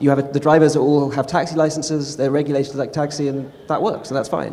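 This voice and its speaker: A man talks at a very fast pace with a fairly high pitch. His tone is dark and mellow. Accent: London. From England, London. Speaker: tech company policy executive. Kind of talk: panel discussion answers.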